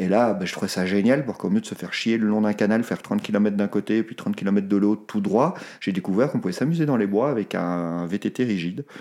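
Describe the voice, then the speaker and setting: A man with a fairly low pitch and a dark, mellow tone, fairly quick with hardly any pauses and ordinary pitch variation. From Belgium, Brussels. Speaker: sports photographer. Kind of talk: interview.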